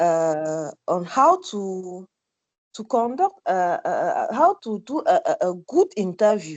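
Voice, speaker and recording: Speaking very slowly at a medium pitch, a woman with a non-native accent swings very widely in pitch and loudness, in a dry, close sound with no echo and a quiet background. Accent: non-fluent English. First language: French. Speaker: webinar participant. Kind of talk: question from audience. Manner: halting.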